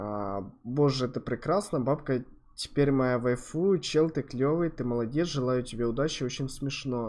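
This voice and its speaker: A man's voice, with ordinary pitch variation and a moderate pace, comes through against a quiet background. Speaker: streamer reacting to videos. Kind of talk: casual reaction commentary. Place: home room.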